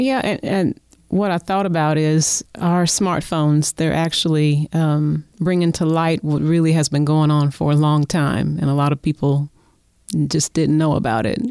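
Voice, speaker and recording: A woman with an Oklahoma accent speaks at a moderate pace in a very deep, low pitch, her tone dark and mellow. Her loudness stays very even, and her pitch varies in an ordinary way. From Oklahoma City. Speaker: community volunteer. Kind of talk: casual chat. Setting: studio.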